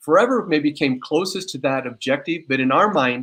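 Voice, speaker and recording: Quiet background behind a man's voice. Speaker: company founder. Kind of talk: product demo interview. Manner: fast.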